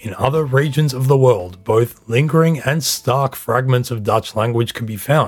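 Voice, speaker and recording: Medium in pitch with ordinary variation, this man's voice is somewhat breathy. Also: moderate pace. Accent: Australian. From Australia. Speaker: history podcast host. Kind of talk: scripted narration.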